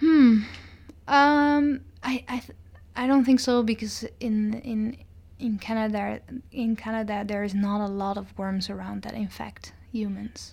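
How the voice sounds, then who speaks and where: A woman talks fairly slowly in a fairly high, somewhat breathy voice with ordinary pitch variation. The recording is very clean, with a silent background. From Netherlands. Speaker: PhD student in microbiology. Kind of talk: interview. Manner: halting, many repetitions and fillers.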